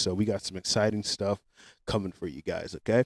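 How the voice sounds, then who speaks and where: A loud man with a fairly low pitch and fairly even intonation comes through dry and close with no echo, on a very clean recording with a silent background. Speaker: podcast host. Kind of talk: casual chat.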